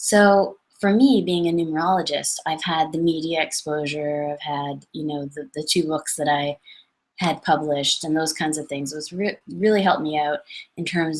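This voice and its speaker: The speaker has a Canadian accent. The pace is moderate. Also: woman. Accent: noticeable Canadian. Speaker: numerologist. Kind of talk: webinar talk. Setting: online webinar. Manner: casual, with many self-corrections.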